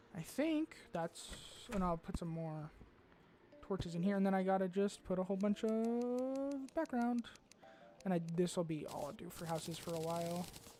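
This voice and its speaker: A woman's animated tone and lively intonation, music in the background. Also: medium pitch for a woman, moderate pace. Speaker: gaming streamer. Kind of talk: live stream gameplay commentary. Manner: stutters, interrupts himself; casual, animated.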